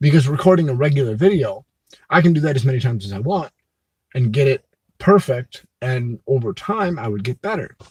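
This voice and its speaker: A man with a fairly high pitch and somewhat breathy voice speaks with lively intonation in a dry, close sound with no echo. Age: adult. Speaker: vlogger. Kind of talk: live stream chat. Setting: live stream. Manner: vocal tics, halting at pauses.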